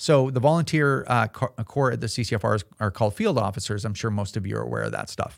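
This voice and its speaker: On a very clean recording with a silent background, a man talks at a fairly quick pace with vocal fry. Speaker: podcast host and gun rights advocate. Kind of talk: casual podcast chat. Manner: conversational, with filler words.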